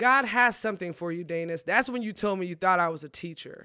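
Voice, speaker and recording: A woman's plain, everyday voice at a medium pitch, with lively intonation, on a very clean recording with a silent background. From Texas, Collin County. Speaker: pastor. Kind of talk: testimony.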